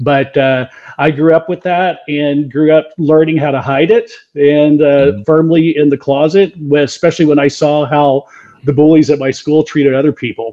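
A man with an American accent and a normal speaking voice talks at a moderate pace, his fairly high pitch paired with fairly even intonation. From southeast Texas (Beaumont). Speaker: author and corporate coach. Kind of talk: interview.

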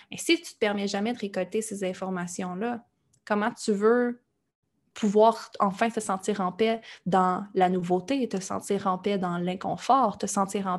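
An ordinary speaking voice moves at a fairly slow pace with ordinary pitch variation in a very clean recording with a silent background. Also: woman. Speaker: entrepreneur. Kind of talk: interview.

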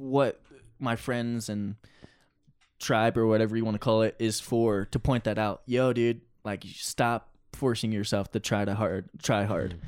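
On a very clean recording with a silent background, a man with an American accent uses an ordinary speaking voice at a fairly slow pace. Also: medium pitch for a man. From New Jersey, Pine Barrens. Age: 20s. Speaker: rock climber. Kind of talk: casual interview.

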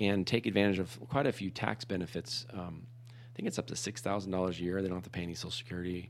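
A man's fairly low voice at a very fast pace. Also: ordinary pitch variation. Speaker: podcast co-host. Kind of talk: casual chat. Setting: studio.

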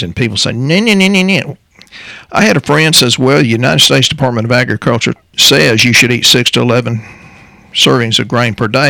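A fairly quick-paced man with a Texan accent. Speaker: natural health practitioner co-hosting a health podcast. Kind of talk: casual health talk show. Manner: fast.

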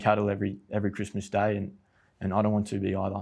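A man with an Australian accent talks at a very fast pace in a fairly low pitch. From Australia, near Canberra. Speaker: soil scientist. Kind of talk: casual chat.

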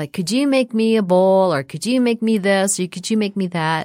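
A woman with an American accent speaks at a moderate pace in an unremarkable speaking voice with ordinary pitch variation. The recording is very clean with a silent background, its sound dry and close with no echo. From Minnesota, Minneapolis suburbs. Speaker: actress and ceramic artist. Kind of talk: interview.

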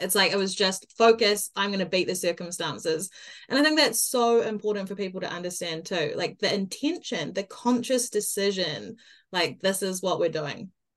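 Enthusiastic in tone, a woman with a New Zealand accent talks at a moderate pace at a medium pitch, with ordinary pitch variation. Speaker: podcast host and mindset coach. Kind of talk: interview.

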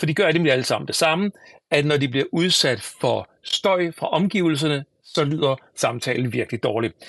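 Against a quiet background, a man with a fairly high pitch speaks at a moderate pace with ordinary pitch variation, in a dry, close sound with no echo. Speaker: tech podcast host. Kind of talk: solo podcast product review.

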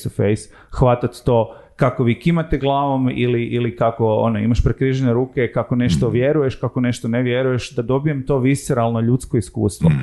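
This is a plain, everyday voice at a fairly quick pace. It shows ordinary pitch variation. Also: man. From Croatia, Zagreb. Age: 30s. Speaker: sociologist and tech entrepreneur. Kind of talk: casual interview chat.

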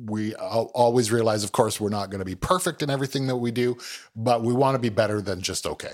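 In a Canadian accent, the speaker uses an unremarkable speaking voice with ordinary pitch variation. The pace is fairly quick, and the recording is very clean with a silent background. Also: man. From Ontario, Canada (Milton, near Toronto). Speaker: food truck owner, chef. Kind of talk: casual interview.

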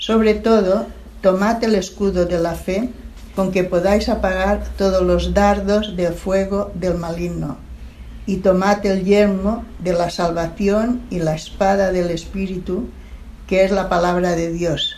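The pace is very slow. There is noticeable background noise. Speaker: scripture reader. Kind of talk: reading aloud. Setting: church.

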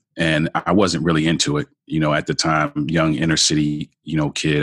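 With an American accent, a man talks at a fairly quick pace in a very deep, low voice, his intonation monotone and flat, the sound dry and close with no echo. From Baltimore, Maryland, US. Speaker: marriage coach and author. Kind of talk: interview conversation.

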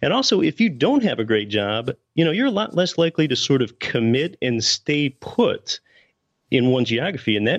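A man with an American accent and a plain, everyday voice talks at a fairly quick pace with lively intonation over a quiet background. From Pennsylvania, US. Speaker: real estate investor and podcast host. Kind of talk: interview.

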